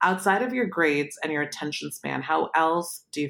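The speaker has a Californian accent. Pitch variation is ordinary. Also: woman. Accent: Californian American. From Palo Alto, California, moved from Pakistan at seven. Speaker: podcast host, startup founder. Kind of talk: interview.

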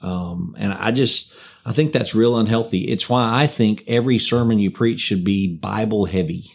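In a very clean recording with a silent background, a man with a plain, everyday voice speaks at medium pitch and a moderate pace, with ordinary pitch variation. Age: 50s. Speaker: pastor. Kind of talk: casual chat.

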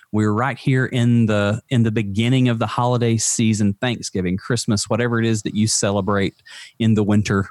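A man at a medium pitch, fairly quick in pace, with fairly even intonation and very even loudness. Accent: Southern US. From Alabama. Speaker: mental health advocate. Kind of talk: casual chat.

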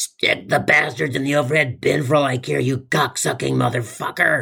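Shouting in a raspy, put-on character voice, a man keeps a moderate pace at a medium pitch. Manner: evil, contorted, shouting.

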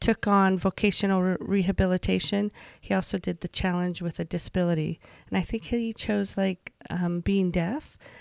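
A woman uses a normal speaking voice at a medium pitch and moderate pace with fairly even intonation, recorded dry and close with no echo in a very clean recording with a silent background. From Utah, rural Emery County (moved from Virginia at 12). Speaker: regional government agency director. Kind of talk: interview conversation.

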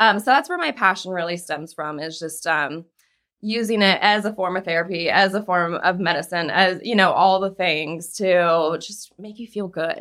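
A medium-pitched woman with a bright, sharp tone, ordinary pitch variation, big swings in loudness and a moderate pace, on a very clean recording with a silent background. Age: 30s. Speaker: fitness instructor. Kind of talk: casual chat.

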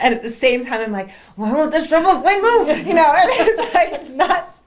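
A woman speaks at a fairly quick pace with an American accent. There is noticeable noise in the background. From New Jersey, US. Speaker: suspense novelist. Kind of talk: interview.

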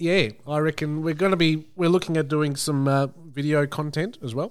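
Hardly pausing, a man with an Australian accent speaks at a fairly high pitch with fairly even intonation. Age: 30s. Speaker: podcast co-host. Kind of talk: casual chat.

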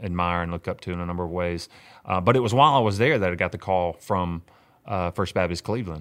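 A man talks in a Mississippi accent. His pitch is very deep and low. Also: very clean recording, silent background. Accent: Mississippi Southern US. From US South, Mississippi hill country. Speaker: pastor. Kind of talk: casual interview. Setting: room next to his church office.

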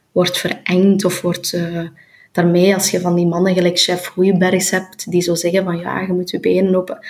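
A woman with a Flemish accent talks at a fairly slow pace in a medium pitch, her intonation monotone and flat. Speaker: politician and author. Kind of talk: interview. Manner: halting.

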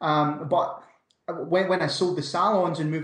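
A man speaks in a Scottish accent at a moderate pace, his intonation fairly even. Audible room echo surrounds the voice. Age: 30s. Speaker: entrepreneur. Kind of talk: interview.

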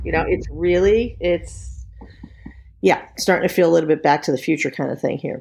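A fairly quick voice with an American accent and vocal fry, ordinary pitch variation, on a very clean recording with a silent background. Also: woman. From New York. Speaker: LGBTQ activist. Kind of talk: interview.

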